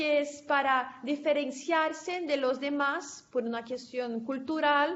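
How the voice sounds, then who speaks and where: Very slowly and with fairly even intonation, a woman with a high voice talks in a room with audible echo. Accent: Portuguese. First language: Portuguese (speaking Spanish). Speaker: conference speaker, researcher. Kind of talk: academic presentation and Q&A. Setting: conference session, recorded. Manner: halting.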